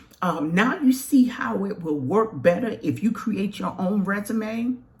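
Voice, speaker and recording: Speaking at a fairly slow pace, a woman uses very wide pitch swings in a somewhat breathy voice. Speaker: career counselor. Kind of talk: tutorial. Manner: casual, conversational.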